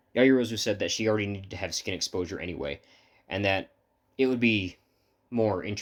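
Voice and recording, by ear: Against a quiet background, someone is reading aloud in a natural voice, with ordinary pitch variation.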